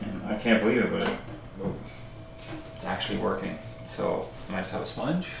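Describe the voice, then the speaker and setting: The speech moves at a moderate pace. There is audible room echo and noticeable background noise behind it. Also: man. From Canada. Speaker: homesteading and how-to youtuber. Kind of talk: casual product review to camera. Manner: hushed; animated.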